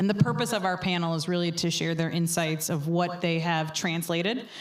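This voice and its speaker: With an American accent, a woman talks at a fairly quick pace in a fairly low pitch, her intonation monotone and flat, with audible room echo around her. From New York. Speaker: panel moderator. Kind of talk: panel discussion. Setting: stage with audience. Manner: loud.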